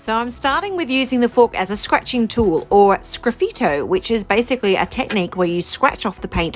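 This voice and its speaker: Over music in the background, a woman with an Australian accent speaks at a fairly quick pace in an upbeat tone with lively intonation. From Australia, rural New South Wales. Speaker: mixed media artist. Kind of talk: tutorial. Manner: casual, upbeat.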